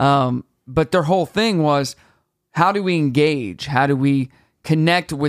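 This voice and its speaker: A man with an American accent speaks at a fairly slow pace. His pitch is fairly high, with ordinary pitch variation. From US Midwest, southwest Missouri small town. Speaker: radio personality and event host. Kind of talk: casual chat. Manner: animated.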